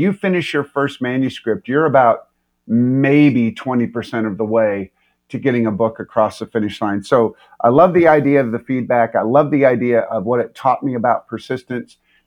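A man talks at a moderate speed, his pitch medium and its variation ordinary, in a plain, everyday voice. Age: 60s. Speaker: leadership coach and pastor. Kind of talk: casual interview.

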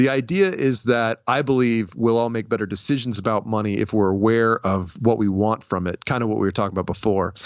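A man talks fairly quickly with an American accent, hardly pausing at all. His pitch is medium with ordinary variation, in a normal speaking voice. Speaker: comedian and podcaster. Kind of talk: interview. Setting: video call.

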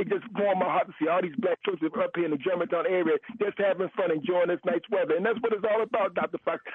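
A man at a fairly quick pace against noticeable background noise. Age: 50s. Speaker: caller. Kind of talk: call-in radio talk.

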